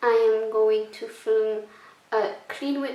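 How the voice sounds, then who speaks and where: Through noticeable background noise, a woman with a Belgian accent talks at a very slow pace. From Belgium. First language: not English. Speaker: cleaning vlogger. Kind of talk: casual talk to camera.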